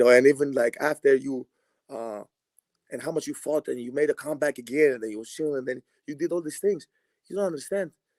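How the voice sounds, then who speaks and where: Recorded dry and close with no echo, a man with a fairly high pitch speaks with a slight Greek accent. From Greece. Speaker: basketball player. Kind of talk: casual chat. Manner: animated.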